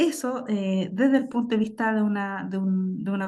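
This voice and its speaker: A woman speaks at a fairly high pitch with ordinary pitch variation. Her tone is dark and mellow, and somewhat breathy. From southern Chile, Temuco area. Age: 40s. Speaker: author on Mapuche astronomy. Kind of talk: panel discussion. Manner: halting.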